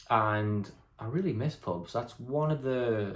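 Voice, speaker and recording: Somewhat breathy, a man speaks at a medium pitch with lively intonation. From northeast England (Hartlepool). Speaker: vlogger. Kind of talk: casual vlog monologue. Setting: at home, in his room. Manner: hesitant, many fillers.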